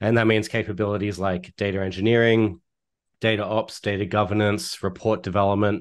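The background is quiet. A man with an Australian accent talks at a fairly low pitch. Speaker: data analytics executive and consultant. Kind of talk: interview.

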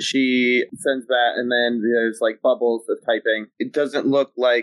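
What we hear is someone reading in a natural voice.

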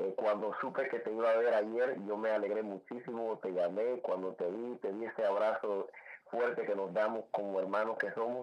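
Over noticeable background noise, a man of medium pitch talks at a moderate pace with fairly even intonation. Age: 50s. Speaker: salsa singer and DJ. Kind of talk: radio interview. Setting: radio studio.

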